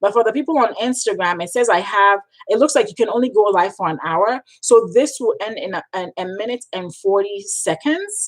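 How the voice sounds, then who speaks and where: A woman's animated voice with a Ghanaian accent, at a moderate pace. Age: 30s. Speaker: freelance writer and coach. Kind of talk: live stream Q&A. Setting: live stream. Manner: animated, emphatic, repetitive.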